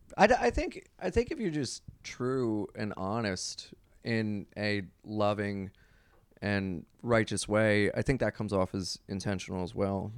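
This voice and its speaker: A man with an unremarkable speaking voice speaks fairly slowly at a fairly low pitch, his intonation fairly even, on a very clean recording with a silent background. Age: 30s. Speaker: comedian and radio host. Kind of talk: casual chat.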